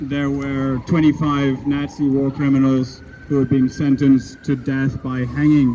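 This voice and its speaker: Amid noticeable background noise, a man speaks fairly slowly at a fairly high pitch with monotone, flat intonation. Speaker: street preacher. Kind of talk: scripture reading and sermon delivered in public. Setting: outdoors, street.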